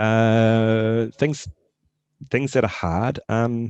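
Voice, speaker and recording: With a New Zealand accent, a man talks in a dry, close sound that has no echo. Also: quiet background. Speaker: tech startup founder. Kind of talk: casual Q&A talk. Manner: hesitant, many fillers and repetitions.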